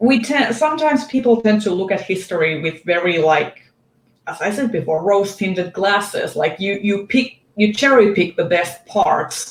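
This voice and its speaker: Someone with a non-native accent speaks at a moderate pace. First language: not English. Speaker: book video creator. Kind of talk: casual chat.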